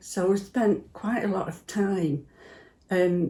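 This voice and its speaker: A woman with a Potteries accent speaks at a medium pitch in a dark, mellow tone. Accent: Potteries (North Staffordshire) English. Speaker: church member. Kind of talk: personal reminiscence interview.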